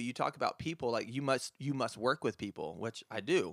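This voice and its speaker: In a normal speaking voice with an American accent, a man talks at medium pitch and a fairly quick pace, recorded very clean over a silent background with a dry, close sound and no echo. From South Carolina upstate. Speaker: high school English teacher. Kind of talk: casual chat.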